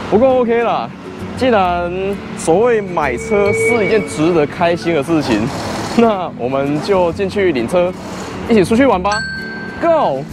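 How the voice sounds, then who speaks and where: Over background music, a man speaks at a fairly slow pace, with long, frequent pauses. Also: dry sound with no echo. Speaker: food vlogger. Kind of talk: casual vlog food review.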